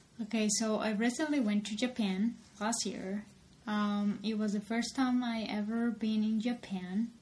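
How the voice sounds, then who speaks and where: Her pitch fairly high, a woman speaks at a fairly slow pace in a flat, monotone way. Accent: Spanish. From Colombia. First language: Spanish. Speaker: podcast co-host. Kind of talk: casual chat.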